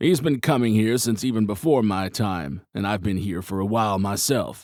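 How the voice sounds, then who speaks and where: A man's put-on character voice, growling and fairly low in pitch, with lively intonation. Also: moderate pace, very clean recording, silent background. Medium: read story. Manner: gruff.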